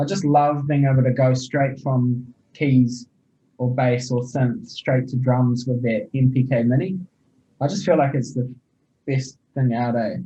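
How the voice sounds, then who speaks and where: A man's somewhat breathy voice with a dark, mellow tone, medium pitch, fairly even intonation, and a fairly slow pace. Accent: New Zealand. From New Zealand. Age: 20s. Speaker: rapper and music producer. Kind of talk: casual chat.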